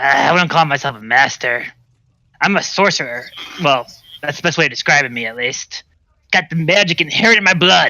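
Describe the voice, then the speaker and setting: Putting on a raspy, growling character voice, a man talks at a fairly high pitch and a fairly quick pace with long, frequent pauses. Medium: actual play. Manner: friendly, laid-back.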